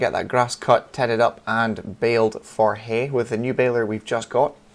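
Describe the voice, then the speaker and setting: A man at a medium pitch talks in a monotone, flat intonation with noticeable background noise behind him. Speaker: gaming channel host. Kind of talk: gameplay commentary. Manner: quick.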